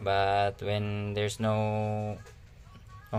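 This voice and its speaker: Music plays in the background as a man talks in a fairly low voice. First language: not English. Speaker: DIY hobbyist YouTuber. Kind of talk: tutorial. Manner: halting.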